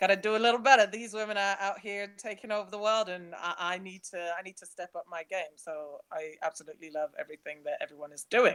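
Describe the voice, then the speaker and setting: Someone with a London accent talks at a very fast pace with hardly any pauses, in a dry, close sound with no echo. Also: woman, medium pitch for a woman, ordinary pitch variation, big swings in loudness. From London, England (born in Nigeria, moved at five). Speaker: travel blogger. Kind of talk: webinar presentation.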